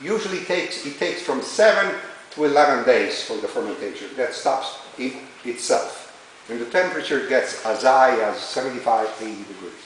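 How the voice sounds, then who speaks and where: In an Italian accent, a man speaks at a moderate pace with big swings in loudness. Audible room echo and noticeable background noise surround him. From Italy. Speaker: winery tour guide. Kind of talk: guided tour talk. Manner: animated, talks with his hands.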